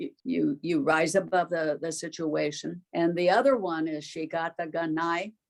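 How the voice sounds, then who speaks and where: With an American accent, a woman talks at a fairly slow pace in a fairly low voice marked by vocal fry. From US, Japanese American. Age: 80s+. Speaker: camp survivor. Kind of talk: interview recollection.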